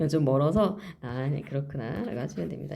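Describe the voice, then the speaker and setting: Audible room echo follows speech delivered at a fairly quick pace. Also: woman. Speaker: math teacher. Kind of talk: lecture. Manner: fast.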